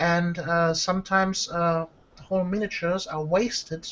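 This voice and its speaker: This woman has a fairly low pitch. She speaks with a non-native accent. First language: not English. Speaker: miniature painter and tutorial maker. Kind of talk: casual interview chat. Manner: hesitant, many fillers.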